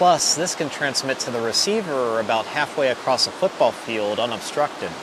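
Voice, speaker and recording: Noticeable background noise sits under a man's medium-pitched voice. He speaks at a moderate pace with lively intonation. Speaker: travel vlogger. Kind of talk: tutorial. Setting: outdoors. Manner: soft-spoken.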